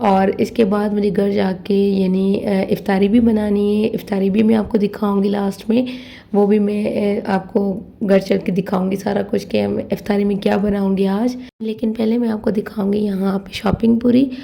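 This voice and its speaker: A woman speaks at a fairly slow pace in a medium pitch with monotone, flat intonation. Her tone is dark and mellow, and somewhat breathy. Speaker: vlogger. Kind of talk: shopping vlog. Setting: grocery store.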